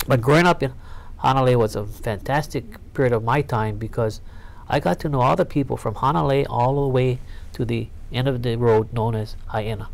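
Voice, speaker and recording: With a Hawaiian accent, a man talks fairly quickly at medium pitch, with ordinary pitch variation. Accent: Hawaii English. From Hawaii, Honolulu. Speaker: politician. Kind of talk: oral history interview.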